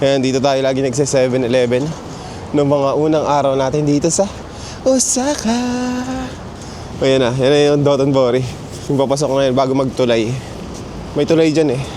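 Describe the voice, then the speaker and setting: A fairly quick pace broken by long, frequent pauses, with very even loudness, fairly even intonation, audible room echo and noticeable background noise. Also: man, fairly high pitch for a man. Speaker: travel vlogger. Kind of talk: casual vlog narration. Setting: outdoors walking through city streets. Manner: relaxed, conversational.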